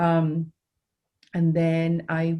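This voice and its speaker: This woman has a fairly low pitch, a dark, mellow tone and a British accent. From England, Suffolk. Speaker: nonprofit director, former teacher. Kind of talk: interview. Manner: hesitant fillers.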